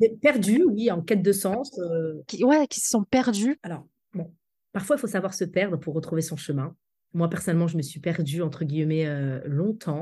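With a somewhat breathy voice at medium pitch, a woman talks at a moderate pace with very wide pitch swings against a quiet background. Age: 40s. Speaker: public speaking coach. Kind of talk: interview.

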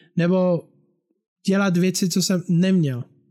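A man speaks in a high-pitched voice. The recording is very clean, with a silent background. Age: 30s. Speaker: musician and podcast host. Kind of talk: casual monologue. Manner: talkative.

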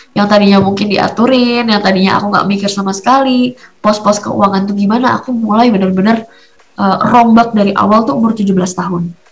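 Through noticeable background noise, a woman speaks fairly quickly at a medium pitch with fairly even intonation. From Surabaya, Indonesia. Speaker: podcast host, homemaker and entrepreneur. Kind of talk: casual monologue chat.

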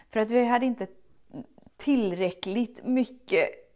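With an animated tone, the speaker keeps a moderate pace and ordinary pitch variation. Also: woman. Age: 30s. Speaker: self-love coach podcast host. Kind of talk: motivational monologue.

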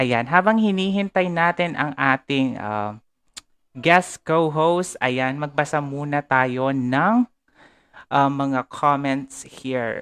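Speech comes at a very slow pace over a quiet background. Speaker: podcast host. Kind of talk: live-streamed casual conversation.

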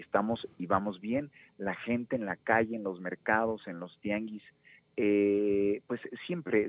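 Fairly low in pitch, the man has an unremarkable speaking voice. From Mexico, Nezahualcóyotl (State of Mexico). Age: 30s. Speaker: political candidate. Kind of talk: radio interview. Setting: phone call.

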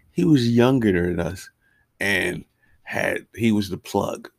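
At a very slow pace, a man with an American accent speaks at medium pitch with lively intonation, the sound dry and close with no echo. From Newark area, New Jersey. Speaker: comedian, podcast co-host. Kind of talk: casual chat.

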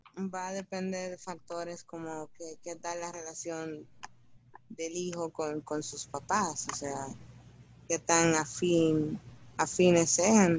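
This woman speaks very slowly in a fairly low pitch, with a Dominican accent. Her intonation stays fairly even while her loudness swings widely. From Dominican Republic. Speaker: podcast co-host. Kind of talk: casual chat.

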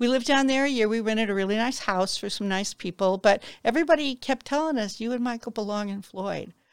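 A woman with an American accent talks very fast at a fairly high pitch with ordinary pitch variation. The recording is very clean, dry and close, with a silent background and no echo. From US Midwest. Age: 70s. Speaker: local newspaper founder. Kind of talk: interview. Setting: studio. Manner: talkative, long-winded.

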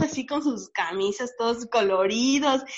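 Speaking at a fairly slow pace, a woman uses an ordinary speaking voice with a fairly high pitch and ordinary pitch variation. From Mérida, Yucatán, Mexico. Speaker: law student, activist. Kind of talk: casual chat.

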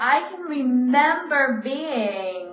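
Over noticeable background noise, a woman with a high pitch speaks in a raised, projected voice at a very slow pace. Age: 40s. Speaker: stand-up comedian. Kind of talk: casual interview.

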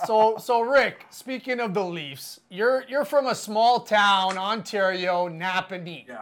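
A very slow pace with hardly any pauses. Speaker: podcast host. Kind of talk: casual chat, joking banter.

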